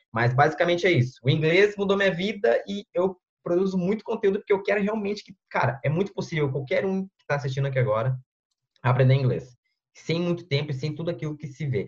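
A man's high-pitched voice moves at a very fast pace with lively intonation. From southern Brazil, Porto Alegre metro area. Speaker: English teacher and online content creator. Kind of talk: casual interview on a live stream.

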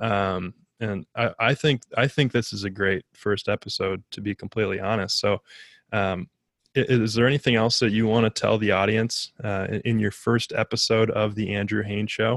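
In a plain, everyday voice with an American accent, the speaker talks at a moderate pace and fairly even intonation, in a very clean recording with a silent background and a dry, close sound with no echo. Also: man, fairly low pitch for a man. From Minnesota. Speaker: podcast co-host, interviewer. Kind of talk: casual interview.

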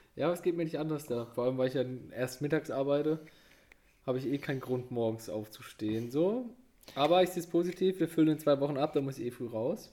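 A man speaks at a very fast pace with a fairly high pitch. His tone is dark and mellow, with ordinary pitch variation. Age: 20s. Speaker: podcast co-host. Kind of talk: casual chat.

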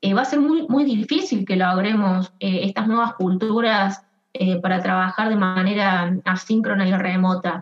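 A woman speaks in a plain, everyday voice at medium pitch, fairly slowly, with very even loudness and ordinary pitch variation. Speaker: HR consultant, co-founder. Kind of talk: interview.

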